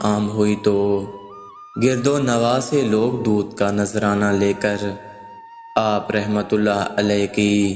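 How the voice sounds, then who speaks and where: A man talks in a monotone, flat intonation at a fairly low pitch. Music plays in the background. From Pakistan. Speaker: voice over artist. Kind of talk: religious story narration.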